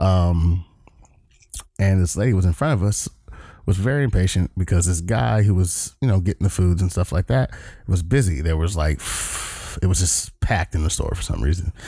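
Very deep male voice with an American accent, dark, mellow and somewhat breathy, very even in loudness, ordinary in pitch variation, at a moderate pace with long, frequent pauses. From Southern California (Long Beach). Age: 30s. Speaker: podcast host, Navy veteran. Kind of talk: casual monologue. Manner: casual, filler-heavy.

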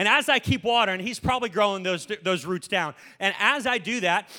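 A raised, projected voice in an animated tone, bright and sharp, at a fairly quick pace with lively intonation, on a very clean recording with a silent background. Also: man. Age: 20s. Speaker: pastor. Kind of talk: sermon.

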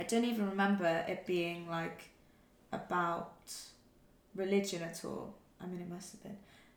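Monotone, flat speech from a woman at medium pitch and moderate pace, broken by long, frequent pauses, with audible room echo. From Wales. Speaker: actor and director. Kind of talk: casual chat.

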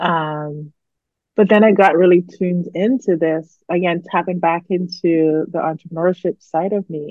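In a Barbadian accent, a woman speaks at a fairly low pitch with fairly even intonation. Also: moderate pace. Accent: Barbadian Caribbean. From Barbados. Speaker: psychologist and company founder. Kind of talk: casual interview chat.

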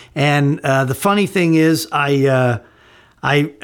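In a very clean recording with a silent background, a man with an American accent has a plain, everyday voice, a fairly high pitch and ordinary pitch variation. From northern Illinois, US. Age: 50s. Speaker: voice actor. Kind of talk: recorded answers to a written interview. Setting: home office, rain on the roof.

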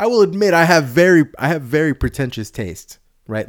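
An animated man with an American accent, fairly quick, his pitch swinging very widely, on a very clean recording with a silent background. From San Jose area, California. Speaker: podcast host. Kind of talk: casual chat, profane. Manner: profane, animated.

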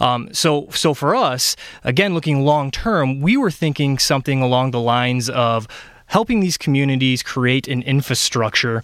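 A man speaks at medium pitch in a Michigan accent. The recording is very clean, with a silent background. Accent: Michigan (Midwest US). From Michigan (Ionia). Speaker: health charity policy advocate. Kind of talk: radio interview. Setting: radio studio. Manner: hesitant, many fillers.

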